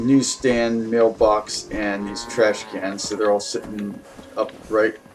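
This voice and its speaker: A man at medium pitch speaking at a very slow pace, with music in the background. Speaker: gameplay video creator. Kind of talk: casual gameplay commentary. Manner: hesitant, many fillers.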